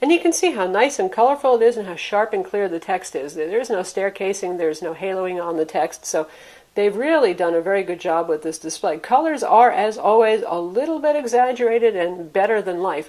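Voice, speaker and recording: This woman talks at a fairly quick pace with hardly any pauses, her pitch medium. She has a plain, everyday voice and lively intonation. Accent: American. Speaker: tech reviewer. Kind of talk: product review.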